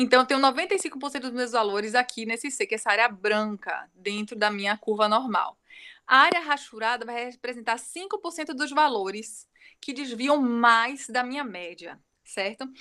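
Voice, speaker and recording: Her pitch is high and her tone bright and sharp. The woman speaks at a moderate pace with lively intonation. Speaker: university lecturer. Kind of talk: lecture.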